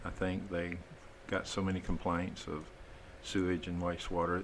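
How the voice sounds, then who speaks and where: In a Texan accent, a man talks at a moderate pace with a very deep, low pitch. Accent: Texan US Southern. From southeast Texas. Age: 60s. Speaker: wastewater system designer, business owner. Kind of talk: podcast interview.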